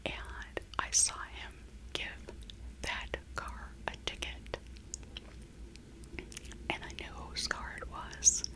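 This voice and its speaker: Over noticeable background noise, a soft-spoken woman is whispering, with long, frequent pauses. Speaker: vlogger. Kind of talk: casual vlog chat. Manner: slow soft ASMR whisper. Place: home room. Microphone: earbuds.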